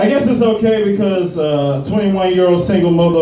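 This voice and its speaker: With audible room echo and noticeable background noise around him, a man talks in a lively, varied intonation. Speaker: stand-up comedian. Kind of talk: stand-up. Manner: slow.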